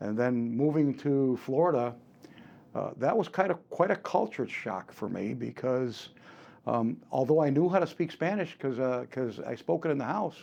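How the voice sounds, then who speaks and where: In a Chicago accent, a man speaks with a dark, mellow tone at a medium pitch, using lively intonation at a moderate pace. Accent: US Midwest, Chicago area. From Chicago area, Illinois (Cuban-born, came at three). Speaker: martial arts and firearms instructor. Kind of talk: interview. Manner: halting, many repeats and fillers.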